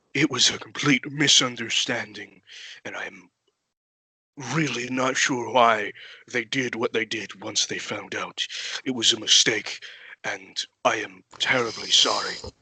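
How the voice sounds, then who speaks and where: A man does a put-on character voice at a medium pitch. He keeps a moderate pace with long, frequent pauses. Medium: actual play. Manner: formal, deferential.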